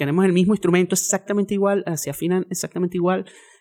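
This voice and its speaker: A man with a high pitch talks at a very fast pace in a very clean recording with a silent background. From Venezuela, Andes (Mérida). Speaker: musician, cuatro player. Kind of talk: interview. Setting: studio.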